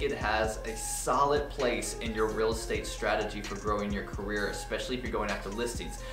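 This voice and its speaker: A man speaks at a fairly quick pace. Music plays clearly in the background. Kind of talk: tutorial. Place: office.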